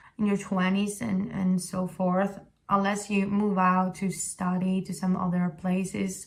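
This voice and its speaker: A somewhat breathy woman with an Italian accent talks at a medium pitch and a fairly slow pace, her intonation monotone and flat. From Italy, Sicily. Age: 20s. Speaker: vlogger. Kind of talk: casual talk to camera. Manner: halting.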